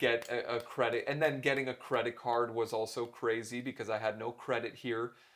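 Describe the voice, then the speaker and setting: A man speaks at a moderate pace and medium pitch with a slight Canadian accent, his intonation flat and monotone. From Canada, Toronto. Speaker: keynote speaker and author. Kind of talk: interview conversation.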